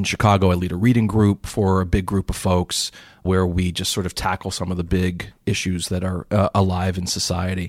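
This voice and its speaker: A man's very deep, low voice with an American accent, flat and monotone, at a fairly quick pace. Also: dry, close sound with no echo, very clean recording, silent background. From US, Pittsburgh. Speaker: investment educator and author. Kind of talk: interview conversation. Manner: halting with repeated starts.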